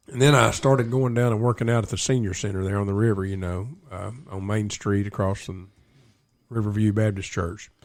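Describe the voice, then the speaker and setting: At a moderate pace, a man with an American accent speaks in a fairly low pitch with fairly even intonation. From East Tennessee (Loudon County). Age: 60s. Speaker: local historian and tour guide. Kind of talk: casual radio interview storytelling. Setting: live radio show.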